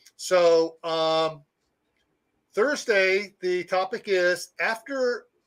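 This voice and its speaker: A man with an American accent projects a raised voice at a high pitch, his tone bright and sharp. The intonation is lively, and the recording is very clean with a silent background. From US Midwest. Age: 60s. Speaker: prepping channel host. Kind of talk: live stream chat.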